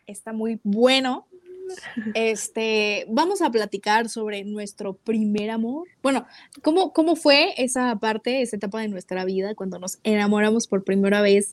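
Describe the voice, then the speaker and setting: A woman's fairly high voice, animated in tone, at a fairly slow pace with ordinary pitch variation, in a dry, close sound with no echo. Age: 20s. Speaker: podcast co-host, music and marketing student. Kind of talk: casual chat. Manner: animated, laughing often.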